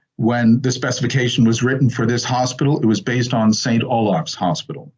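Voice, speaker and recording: With an American accent, a man talks in a normal speaking voice at medium pitch and a moderate pace. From New York, US. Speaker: tech company executive. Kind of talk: business presentation.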